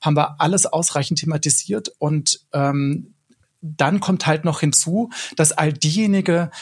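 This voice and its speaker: A somewhat breathy man at fairly high pitch with ordinary pitch variation. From Swabia, southern Germany. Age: 40s. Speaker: broadcast journalist. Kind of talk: casual panel discussion.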